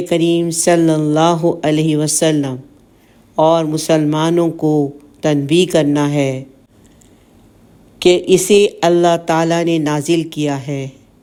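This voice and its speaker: In a dark, mellow tone, a woman with a very deep, low pitch speaks in a monotone, flat intonation. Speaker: Quran commentary narrator. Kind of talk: religious commentary lecture.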